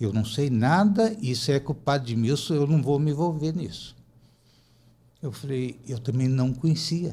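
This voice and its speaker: Somewhat breathy, a man's voice carries a dark, mellow tone and lively intonation. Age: 70s. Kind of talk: podcast interview, personal testimony. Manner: animated storytelling with repetitions.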